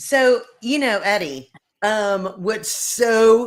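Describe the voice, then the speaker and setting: A woman talks in an animated tone with an American accent. Her pitch varies in an ordinary way. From Virginia, Lynchburg. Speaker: talk show host. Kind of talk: casual interview chat.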